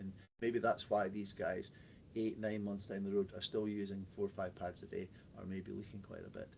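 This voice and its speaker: A man speaks with a Scottish accent. His pitch is fairly low, and his intonation is monotone and flat. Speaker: pelvic health physiotherapist. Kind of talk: webinar presentation. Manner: fast; halting, many fillers and repetitions.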